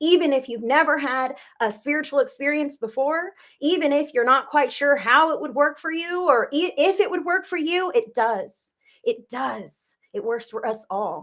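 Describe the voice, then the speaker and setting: Very wide pitch swings in an American accent. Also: woman, high pitch for a woman. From California. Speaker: psychic medium. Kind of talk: live-stream psychic reading and chat. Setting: live video broadcast. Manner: fast; slurs words at times.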